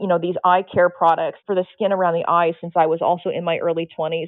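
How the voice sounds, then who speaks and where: A woman's medium-pitched voice moves along at a very fast pace. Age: 50s. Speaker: nude model. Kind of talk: casual chat.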